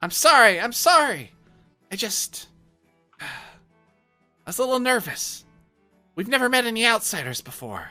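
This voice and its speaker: In a put-on character voice pitched fairly high, the speaker moves at a moderate pace with long, frequent pauses while faint music plays in the background. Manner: nervous, apologetic.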